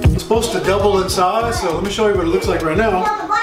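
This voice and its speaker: Loud music plays in the background as a man talks at a very fast pace. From South Louisiana. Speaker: home cook. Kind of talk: casual cooking video talk to camera. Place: kitchen. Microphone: camera far.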